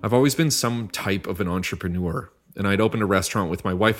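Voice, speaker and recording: Music plays in the background as a man talks at a very fast pace. His pitch shows ordinary variation. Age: 30s. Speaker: podcast host, chef. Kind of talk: solo podcast monologue.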